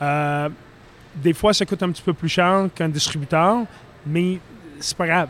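A man's high pitch, fairly even intonation and fairly slow pace, broken by long, frequent pauses. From Philadelphia, US. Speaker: brewer. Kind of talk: casual chat.

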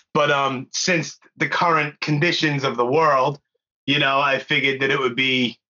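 The tone is bright and sharp, with fairly even intonation. The pace is moderate. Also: man, medium pitch for a man.

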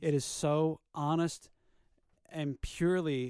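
In a dry, close recording with no echo, a man with a fairly high pitch speaks very slowly. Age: 30s. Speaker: podcast co-host. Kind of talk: casual chat.

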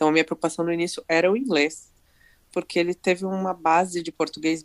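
Recorded very cleanly against a silent background, with a dry, close sound and no echo, a woman speaks at a very deep, low pitch and a moderate pace. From Brazil. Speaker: author and marketing professional. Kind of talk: interview. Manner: run-on sentences.

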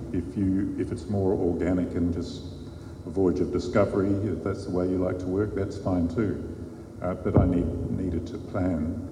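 A man with an Australian accent and a very deep, low pitch, with audible room echo and noticeable background noise. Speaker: crime novelist. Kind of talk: panel discussion. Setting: stage with live audience.

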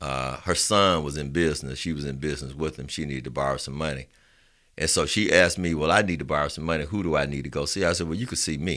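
A very fast man's voice, very deep and low in pitch with ordinary variation, a bright, sharp tone and vocal fry, on a very clean recording with a silent background. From Alabama, Roosevelt City near Birmingham. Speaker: small business lending executive. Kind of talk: casual interview chat.

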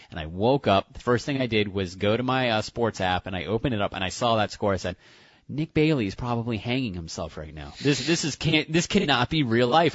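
A man's medium-pitched, normal speaking voice, fairly quick, with lively intonation. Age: 30s. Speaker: radio co-host. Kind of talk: casual sports talk.

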